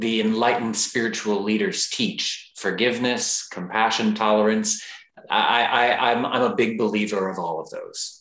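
Audible room echo surrounds the voice. A man speaks with ordinary pitch variation. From Texas. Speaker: yoga teacher and author. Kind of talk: interview.

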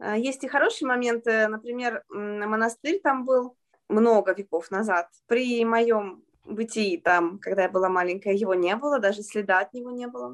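A woman's unremarkable speaking voice, fairly high-pitched, with lively intonation at a fairly slow pace. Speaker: children's author and translator. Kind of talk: interview.

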